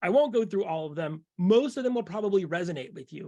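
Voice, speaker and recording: A man with a high pitch uses lively intonation. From San Francisco, US West Coast. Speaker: keynote speaker, futurist author. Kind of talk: keynote talk with slides. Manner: fast.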